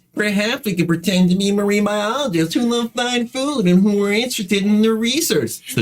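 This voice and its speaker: Delivered at a fairly quick pace, this is a put-on character voice. There are hardly any pauses. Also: man, high pitch for a man. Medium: actual play.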